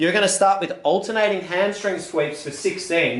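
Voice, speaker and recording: A man talks in an upbeat, energetic tone. The recording has audible room echo and noticeable background noise. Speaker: fitness instructor. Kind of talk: guided exercise class instruction.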